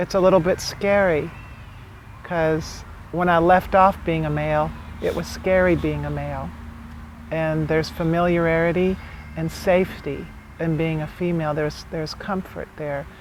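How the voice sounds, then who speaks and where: The speech moves at a moderate pace with long, frequent pauses, over noticeable background noise. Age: 40s. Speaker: documentary subject. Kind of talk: interview.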